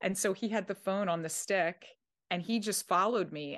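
A woman's medium-pitched voice with an American accent, at a fairly quick pace, over a quiet background. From South Jersey, Philadelphia area. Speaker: actor and writer. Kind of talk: casual interview chat.

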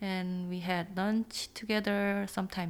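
In a Korean accent, a woman speaks very slowly at medium pitch with monotone, flat intonation. The recording is very clean, its background silent. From Seoul, South Korea. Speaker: churchgoer. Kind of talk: interview. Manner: halting.

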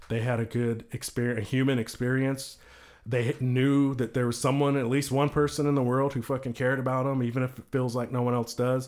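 A man with an American accent at a medium pitch, fairly quick pace and monotone, flat intonation. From Texas. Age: 40s. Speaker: CBD company owner. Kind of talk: casual chat.

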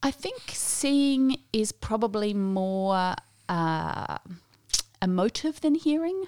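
A woman speaks very slowly in an Australian accent, with a fairly high pitch and very wide pitch swings. The sound is dry and close, with no echo. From Australia, earlier South Africa. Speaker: New Testament lecturer. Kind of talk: interview.

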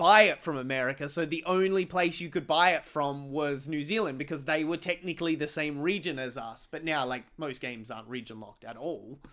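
Recorded very cleanly against a silent background, a man with an Australian accent speaks at a moderate pace, his fairly high, bright, sharp voice showing ordinary pitch variation. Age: 30s. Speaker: podcast host. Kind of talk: casual chat.

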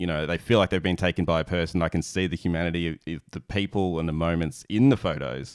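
Very fast and with hardly any pauses, a man with an Australian accent and a very deep, low pitch speaks with ordinary pitch variation, in a dry, close sound with no echo on a very clean recording with a silent background. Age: 30s. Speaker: podcast host and wedding photographer. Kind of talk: casual interview chat. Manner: halting.

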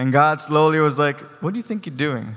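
This man's pace is fairly quick. Ordinary pitch variation marks his delivery. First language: not English. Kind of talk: sermon. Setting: church. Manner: animated.

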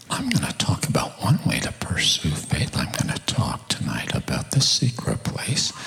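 Whispering with hardly any pauses, a man with an American accent speaks over noticeable background noise. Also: moderate pace. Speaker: preacher. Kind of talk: sermon. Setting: church with live audience, microphone. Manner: animated, humorous.

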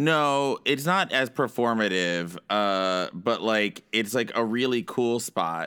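A man speaks at a very slow pace. His medium-pitched voice carries lively intonation. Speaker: podcast host. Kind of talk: casual comedy chat. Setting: remote recording from New York late at night.

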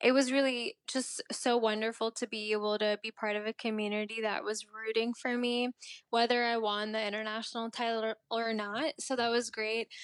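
A Mid-Atlantic American accent, monotone and flat, with a dry, close sound and no echo. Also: woman, fairly high pitch for a woman, moderate pace, hardly any pauses. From Maryland, US (immigrated from India at age three). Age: 20s. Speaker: beauty pageant titleholder. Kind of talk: interview.

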